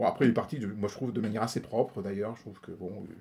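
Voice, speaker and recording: A man talks at a very fast pace with a medium pitch. His tone is dark and mellow, and somewhat breathy. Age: 50s. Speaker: politician. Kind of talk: interview. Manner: halting.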